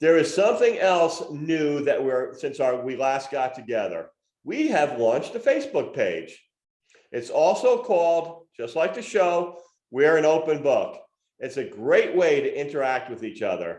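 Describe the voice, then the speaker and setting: This man speaks at a fairly slow pace. Audible room echo surrounds the recording. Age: 60s. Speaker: podcast co-host. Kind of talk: casual chat; reading aloud from own memoir.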